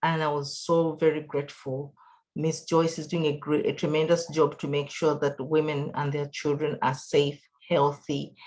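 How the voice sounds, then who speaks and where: A woman speaks with a non-native accent at a moderate pace. Her voice is very deep and low, with monotone, flat intonation. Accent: foreign accent, noticeable. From outside the US. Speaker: patient, cancer survivor. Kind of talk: testimony. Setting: video call.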